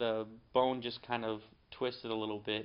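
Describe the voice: A man with an American accent speaks at a fairly low pitch. His tone is clear and smooth, with little pitch movement. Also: moderate pace.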